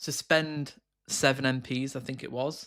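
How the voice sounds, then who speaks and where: A man with a fairly high pitch is heard on a very clean recording with a silent background. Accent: British. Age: 30s. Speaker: political livestreamer. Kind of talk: live political commentary. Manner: animated.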